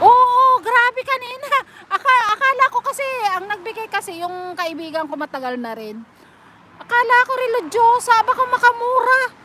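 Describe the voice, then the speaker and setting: Against noticeable background noise, a woman projects a raised voice at an extremely high pitch, moving at a moderate pace with lively intonation. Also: big swings in loudness. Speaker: live streamer, overseas domestic worker. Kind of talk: casual live stream chat. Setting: live stream.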